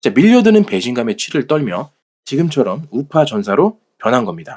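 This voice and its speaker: A man speaks with a fairly high pitch, vocal fry and very wide pitch swings. The recording is very clean, with a silent background. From South Korea, Jeolla province. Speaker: political commentary channel host. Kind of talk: reading aloud.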